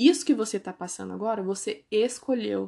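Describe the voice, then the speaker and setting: Against a quiet background, a woman speaks at a fairly quick pace in a fairly high voice with a dark, mellow tone. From Brazil, Ourinhos, São Paulo state. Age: 20s. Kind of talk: testimony. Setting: at home. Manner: casual, conversational.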